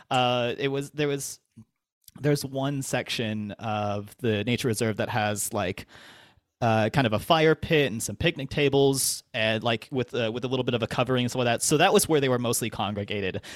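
A man with an ordinary speaking voice at medium pitch, ordinary pitch variation and a moderate pace, the sound dry and close with no echo. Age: 20s. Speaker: sex educator. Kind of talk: casual chat.

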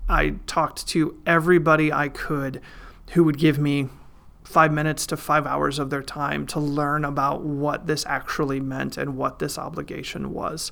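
A man talks at a moderate pace in a fairly high pitch with a bright, sharp tone. His intonation is monotone and flat, and the recording is very clean with a silent background. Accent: Midwestern American. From Iowa, US Midwest. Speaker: financial planner and mayor. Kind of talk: interview.

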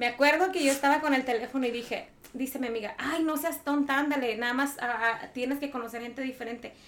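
A woman's high voice at a very fast pace, with fairly even intonation. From Mexico, Michoacán. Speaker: podcast guest. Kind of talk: casual chat.

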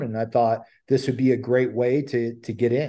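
With an American accent, a man speaks at a medium pitch and a moderate pace, his dark, mellow tone held in a monotone, flat intonation. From Ohio, US Midwest. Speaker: tree care business owner and podcast host. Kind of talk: casual interview chat.

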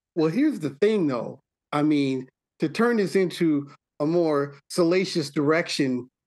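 In an American accent, a plain, everyday voice speaks at a fairly slow pace with ordinary pitch variation over a quiet background. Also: man, fairly high pitch for a man. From US Midwest, Milwaukee. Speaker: podcast host. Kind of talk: casual chat.

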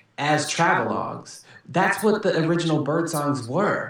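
A man talks with an American accent at a fairly high pitch. Audible room echo and noticeable background noise surround his voice. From Southern California, Kumeyaay reservation. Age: 30s. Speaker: poet and TV writer. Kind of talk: casual chat.

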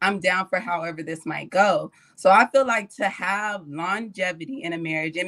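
With lively intonation, a woman talks in an ordinary speaking voice at a medium pitch. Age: 20s. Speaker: podcast panelist. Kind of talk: casual chat.

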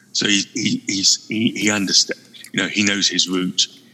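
At a moderate pace, a man with a British accent speaks over noticeable background noise. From UK. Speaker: guest co-host on a gaming podcast. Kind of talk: casual chat.

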